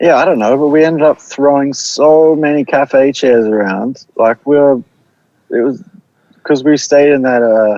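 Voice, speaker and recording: Someone speaks in a New Zealand accent at a moderate pace with ordinary pitch variation. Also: man, fairly high pitch for a man. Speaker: band musician, podcast guest. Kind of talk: casual chat.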